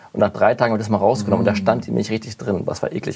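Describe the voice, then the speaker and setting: At a very fast pace, a man with a fairly low pitch talks over noticeable background noise. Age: 30s. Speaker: advertising photographer. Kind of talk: casual chat.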